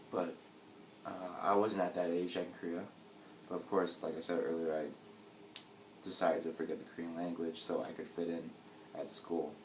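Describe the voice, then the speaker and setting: Fairly quick speech in a General American accent, with monotone, flat intonation, long, frequent pauses, audible room echo and noticeable background noise. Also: man, very deep, low pitch for a man. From US, New York City. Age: 20s. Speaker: interviewee. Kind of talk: interview.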